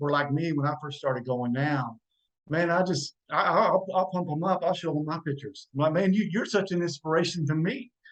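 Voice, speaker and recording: Pitched fairly high, a man with an ordinary speaking voice talks at a fairly quick pace with ordinary pitch variation. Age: 50s. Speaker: podcast guest. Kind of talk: casual chat.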